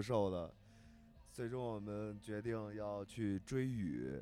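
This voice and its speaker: Very slow delivery in a dark, mellow tone, its pitch varying in an ordinary way. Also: man. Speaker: podcast co-host. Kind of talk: casual chat. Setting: in a moving car. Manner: animated.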